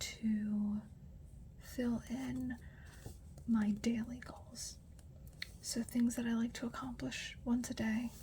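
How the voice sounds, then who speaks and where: Soft-spoken and very slow, a woman talks in a fairly high, dark, mellow voice with monotone, flat intonation. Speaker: new mother. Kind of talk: ASMR journaling talk.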